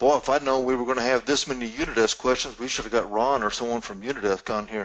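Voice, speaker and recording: A man of medium pitch speaks with a Southern US accent. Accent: southern drawl. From US South. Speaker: Q&A moderator. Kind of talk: webinar Q&A discussion. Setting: live webinar.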